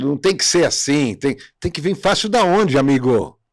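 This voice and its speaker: In a very clean recording with a silent background, a man sounds animated, speaking fairly slowly with lively intonation. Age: 60s. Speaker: podcast host. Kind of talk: casual chat.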